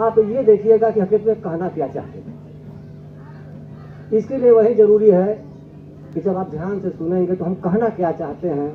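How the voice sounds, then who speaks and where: Amid noticeable background noise, a man with a high pitch and ordinary pitch variation speaks with big swings in loudness and long, frequent pauses. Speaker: spiritual speaker, devotee. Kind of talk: religious discourse. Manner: speaks slowly.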